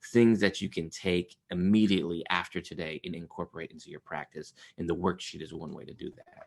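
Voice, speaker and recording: This man has a very deep, low voice that swings widely in loudness, moving at a fairly quick pace with hardly any pauses and fairly even intonation. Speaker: trauma therapist and trainer. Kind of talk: webinar presentation. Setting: video call webinar. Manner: fast.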